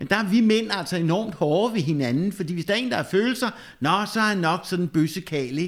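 At a fairly quick pace, a man speaks in a high pitch with lively intonation. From Denmark, western Zealand (Slagelse). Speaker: pastor. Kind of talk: casual chat. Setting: rectory.

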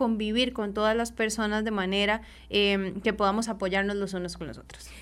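A bright, sharp tone comes through in a very clean recording with a silent background. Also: woman. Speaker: social worker. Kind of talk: radio interview. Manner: halting.

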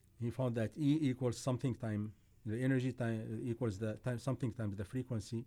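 A man with an Arabic accent speaks at a fairly quick pace and a medium pitch. His tone is dark and mellow, his intonation fairly even. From Syria. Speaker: engineer. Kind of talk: casual chat.

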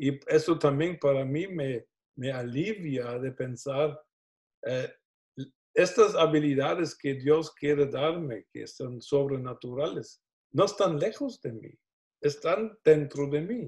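A somewhat breathy man's voice, very slow, with big swings in loudness. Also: fairly high pitch for a man, ordinary pitch variation. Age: 60s. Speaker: pastor. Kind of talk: teaching interview. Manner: hesitant, repeats words.

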